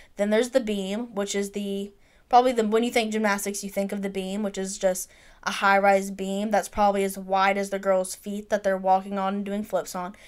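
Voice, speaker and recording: A woman with a Southern US accent, medium pitch, monotone, flat intonation and a fairly quick pace, on a very clean recording with a silent background. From Mississippi. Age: 20s. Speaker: sports podcast co-host. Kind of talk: casual chat.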